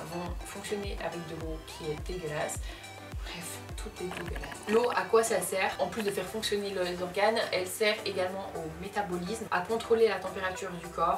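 A woman at a fairly quick pace, her intonation fairly even, with clear music in the background. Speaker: beauty youtuber. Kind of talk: tutorial. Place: home room.

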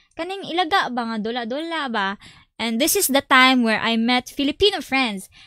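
Against a quiet background, a woman with a high pitch and bright, sharp tone talks at a moderate pace with ordinary pitch variation, in a dry sound with no echo. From Philippines, Visayas; Philippines. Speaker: gaming streamer. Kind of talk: casual live stream chat. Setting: live stream. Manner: animated. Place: home room. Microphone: studio mic.

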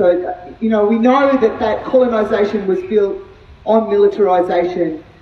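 With audible room echo, a woman speaks at a moderate pace. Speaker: speaker. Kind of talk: speech. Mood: earnest, committed. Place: street.

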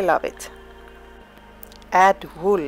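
A woman with a Swedish accent speaks over music in the background. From Sweden. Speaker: wool spinner. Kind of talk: tutorial narration.

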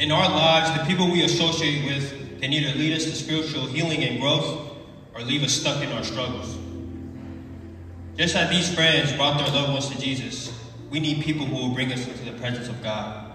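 A man speaks at a medium pitch and a moderate pace, with fairly even intonation. Strong room echo surrounds the voice.

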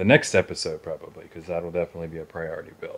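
Ordinary pitch variation in a man's speech. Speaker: DIY renovation vlogger. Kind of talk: casual vlog chat. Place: garage. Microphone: phone near.

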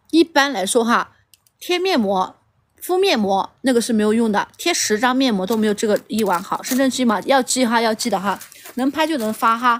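Lively in intonation, a woman talks at a moderate pace. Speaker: livestream seller. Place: garden. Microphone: phone near.

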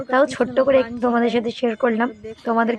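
Monotone, flat intonation is heard against noticeable background noise. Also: woman. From West Bengal, Purulia. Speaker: vlogger. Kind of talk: travel vlog. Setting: outdoors on a hill. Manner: chatty, addresses viewers directly.

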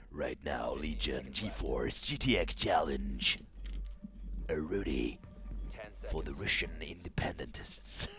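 Whispering in a put-on character voice, a man goes at a very slow pace with long, frequent pauses over clear background noise. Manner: dramatic, over the top.

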